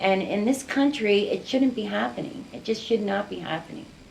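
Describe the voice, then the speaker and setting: Noticeable background noise behind a woman's fairly high voice, with ordinary pitch variation at a moderate pace. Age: 60s. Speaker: community activist, mother of gun violence victim. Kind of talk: interview.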